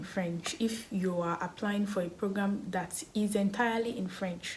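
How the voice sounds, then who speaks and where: Noticeable background noise sits under this recording. A woman with a Nigerian accent speaks at a medium pitch. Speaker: education vlogger. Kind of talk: tutorial. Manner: casual, conversational with fillers.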